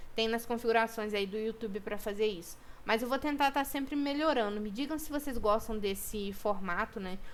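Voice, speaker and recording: A woman's fairly high voice with ordinary pitch variation and hardly any pauses. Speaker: student teacher. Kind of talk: recorded online lesson. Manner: fast. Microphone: poor microphone.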